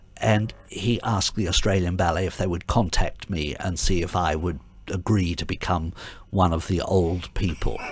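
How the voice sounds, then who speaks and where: Vocal fry at a moderate pace, with ordinary pitch variation. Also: man, very deep, low pitch for a man. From Adelaide, Australia. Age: 70s. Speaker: retired ballet dancer and artistic director. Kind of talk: interview. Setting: radio studio. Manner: halting, many fillers.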